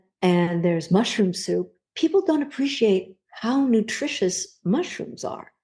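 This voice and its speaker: Somewhat breathy and dark, mellow in tone, a woman with a medium pitch speaks at a fairly slow pace with very wide pitch swings. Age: 70s. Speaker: cookbook author. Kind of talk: interview.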